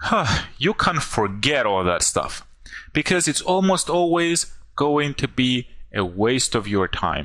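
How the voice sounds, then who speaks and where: A man with a non-native accent speaks very slowly at a fairly high pitch, his tone bright and sharp and his pitch swinging very widely. His loudness stays very even, and the recording is very clean with a silent background. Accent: goofy accent, non-native. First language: not English. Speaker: online marketer. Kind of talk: sales pitch.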